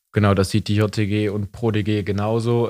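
Monotone and flat, a man with a fairly low pitch speaks in a very clean recording with a silent background. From East Belgium (German-speaking). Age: 20s. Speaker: youth party member, student. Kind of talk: casual interview.

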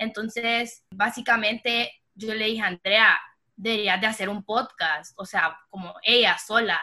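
A woman talks at a very slow pace with a fairly high pitch. Her intonation is fairly even, though her loudness swings widely. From Honduras. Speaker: podcast co-host, designer. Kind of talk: casual chat.

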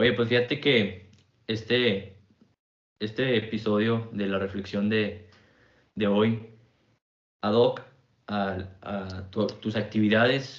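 A man with a Mexican accent, fairly low flat monotone, very slow delivery full of long, frequent pauses, and audible echo in the room. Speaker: podcast host. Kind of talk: casual interview.

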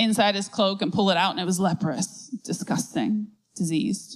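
A woman's normal speaking voice at a medium pitch, with ordinary pitch variation and a moderate pace. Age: 30s. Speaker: pastor. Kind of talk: sermon.

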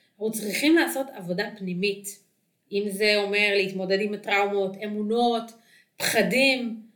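A woman's fairly even intonation, with audible room echo. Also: medium pitch for a woman. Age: 30s. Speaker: dating coach. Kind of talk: solo podcast talk.

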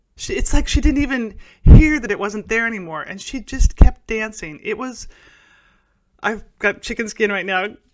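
A woman with an American accent speaks in a plain, everyday voice at a fairly high pitch and moderate pace, her intonation lively and her loudness swinging widely. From Oklahoma, US (Tulsa). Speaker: podcast host and business mentor. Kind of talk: solo podcast monologue.

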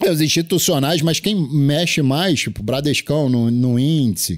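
Heard on a very clean recording with a silent background, a man with an unremarkable speaking voice and a fairly high pitch talks at a fairly slow pace. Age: 40s. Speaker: day trader and trading mentor. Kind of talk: casual chat.

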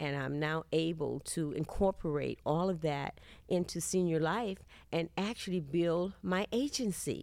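A woman speaks with a Texan accent on a very clean recording with a silent background. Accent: Southern US, Texan. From Texas, Houston. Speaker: insurance agent. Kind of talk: interview testimony.

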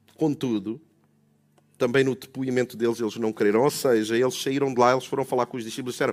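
A man with a European Portuguese accent and a warm tone, talking at a very fast pace on a very clean recording with a silent background. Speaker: preacher. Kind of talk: sermon. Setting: church with congregation. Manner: rhetorical, repeating questions for emphasis; warm, conversational, preacherly.

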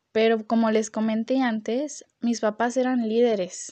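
A woman's fairly high, dark and mellow voice at a very slow pace. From Mexico, Guadalajara, Jalisco. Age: 20s. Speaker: university student sharing faith testimony. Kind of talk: testimony.

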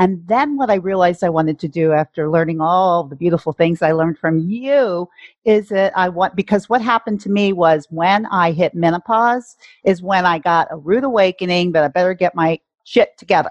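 At a fairly quick pace, a woman talks in an ordinary speaking voice with a fairly low pitch and ordinary pitch variation. The background is quiet. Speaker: life coach. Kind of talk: casual interview conversation.

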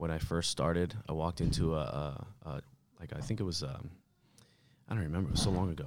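A very deep, low male voice with an American accent, very fast with vocal fry and long, frequent pauses. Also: ordinary pitch variation. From New York (Bronx), later New Jersey. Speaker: martial arts instructor and military veteran. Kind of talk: casual interview.

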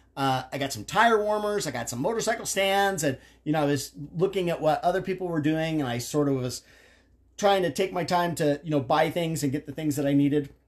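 Against a quiet background, a man with a plain, everyday voice talks at a fairly quick pace, his fairly high pitch showing ordinary variation. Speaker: father of the host, motorcycle enthusiast. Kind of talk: casual chat.

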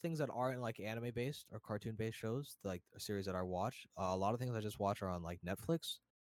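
An American accent marks this man's speech, with a dry, close sound and no echo. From New Jersey, US. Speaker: Twitch streamer and graphic designer. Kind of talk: casual podcast interview chat. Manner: casual, friendly.

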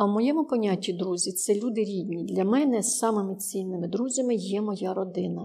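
With a dark, mellow tone, a woman speaks at a moderate pace and ordinary pitch variation. The recording is very clean, with a silent background. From Ukraine, Ternopil. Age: 60s. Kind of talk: interview. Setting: studio.

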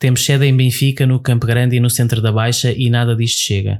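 At a very fast pace, a man speaks in a medium pitch with monotone, flat intonation, in a very clean recording over a silent background. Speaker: podcast co-host. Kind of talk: casual chat.

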